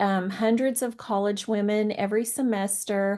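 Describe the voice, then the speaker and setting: Over a quiet background, a woman with a fairly high pitch talks at a fairly slow pace in a normal speaking voice. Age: 60s. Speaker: professor. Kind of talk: online panel talk.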